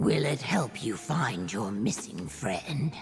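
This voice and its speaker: A put-on, growling character voice at a low-to-middle pitch, with very wide pitch swings, a fairly slow pace and faint music in the background. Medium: video game. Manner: earnest, formal.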